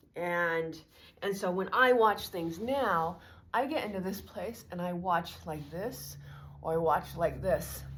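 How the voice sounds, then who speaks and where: A woman's fairly low voice with vocal fry at a very slow pace. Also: ordinary pitch variation. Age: 50s. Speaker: fitness vlogger. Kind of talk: casual tutorial. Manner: casual, halting.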